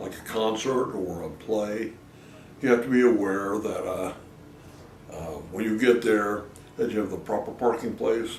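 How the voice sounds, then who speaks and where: Voice with an American accent, noticeable background noise and audible room echo. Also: man. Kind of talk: documentary interview. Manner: halting.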